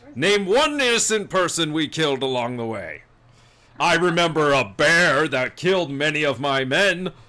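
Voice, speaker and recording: Putting on a character voice, a man projects loudly at a fairly high pitch, moderate in pace and lively in intonation. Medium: actual play. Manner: self-justifying, blustering.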